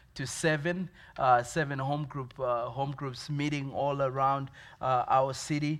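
A man with a Zimbabwean accent speaks in a monotone, flat intonation, with audible room echo. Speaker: pastor. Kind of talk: sermon. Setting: church. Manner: halting, many fillers.

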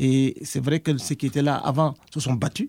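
A man's fairly high-pitched, somewhat breathy voice with a dark, mellow tone and a dry, close sound with no echo. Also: very clean recording, silent background. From Senegal. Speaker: university professor, former association president. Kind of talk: interview.

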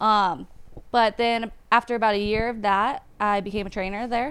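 Fairly high-pitched woman in an American accent, ordinary pitch variation, moderate pace, very clean recording with a silent background. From San Diego, California. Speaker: powerlifter and personal trainer. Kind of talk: casual chat.

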